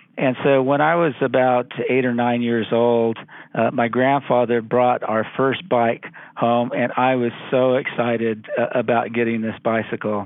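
A man with an American accent at medium pitch, fairly slow, with monotone, flat intonation and very even loudness. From California, Central Valley. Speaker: law professor. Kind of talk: interview.

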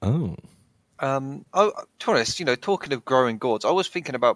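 A plain, everyday voice from a man at medium pitch, fairly quick in pace, with lively intonation and a dry, close sound with no echo. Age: 20s. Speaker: podcast co-host. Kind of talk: casual chat.

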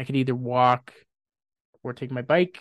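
A man with a western Canadian accent speaks at a moderate pace and a medium pitch. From Grande Prairie, northern Alberta, Canada. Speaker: podcast guest. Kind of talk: casual chat.

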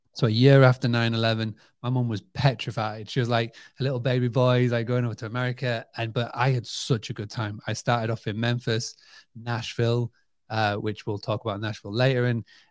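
Speaking in a Yorkshire accent, a man goes at a fairly quick pace with monotone, flat intonation. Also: medium pitch for a man. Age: 30s. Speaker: hospitality marketing entrepreneur. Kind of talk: interview.

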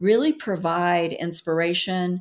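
Very slow woman's voice, fairly low-pitched, in a Southern US accent, on a very clean recording with a silent background. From US South. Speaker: emotional healing educator and author. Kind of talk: interview.

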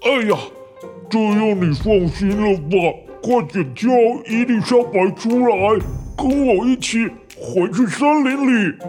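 Clear music plays in the background. Over it comes a put-on character voice at a fairly high pitch. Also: fairly slow pace.

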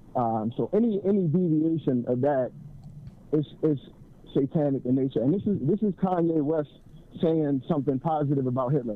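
This man has a normal speaking voice with a fairly high pitch and ordinary pitch variation. He keeps a moderate pace and very even loudness. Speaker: caller. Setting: phone call.

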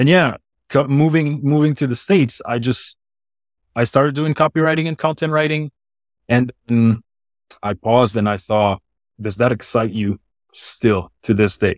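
Recorded very cleanly with a silent background and a dry, close sound with no echo, a man with a slight Swiss French accent talks at a moderate pace and medium pitch with ordinary pitch variation, taking long, frequent pauses. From French-speaking Switzerland. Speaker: brand strategist. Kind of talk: interview.

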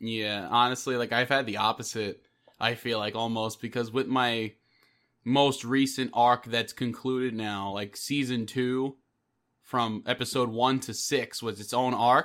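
A man with a New York accent speaks at a fairly slow pace in a monotone, flat intonation at medium pitch. The recording is very clean, with a silent background. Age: 20s. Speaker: podcast host and audio drama creator. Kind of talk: casual chat.

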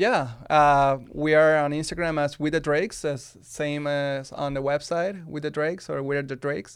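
Over a very clean recording with a silent background, a man speaks in a Spanish accent with fairly even intonation and hardly any pauses. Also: fairly high pitch for a man, moderate pace. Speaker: wedding filmmaker. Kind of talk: casual interview. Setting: studio.

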